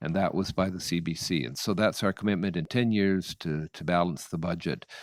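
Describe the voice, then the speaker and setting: A man with a Nova Scotian accent speaks at a moderate pace, his very deep, low voice marked by vocal fry and ordinary pitch variation. The sound is dry and close with no echo, in a very clean recording over a silent background. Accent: Canadian (Nova Scotia). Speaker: political candidate. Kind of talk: political debate. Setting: candidates forum. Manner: halting.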